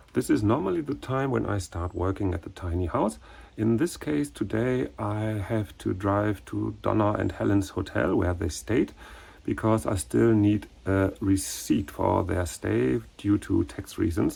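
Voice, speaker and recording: A man speaks fairly low and somewhat breathy, with a dark, mellow tone. His intonation is lively and his pace fairly slow. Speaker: renovation vlogger and teacher. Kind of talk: vlog narration.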